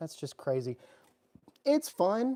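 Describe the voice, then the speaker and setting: The voice has a dark, mellow tone and comes with a Southern US accent. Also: man. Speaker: EDC YouTuber. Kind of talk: livestream chat. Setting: garage. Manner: animated.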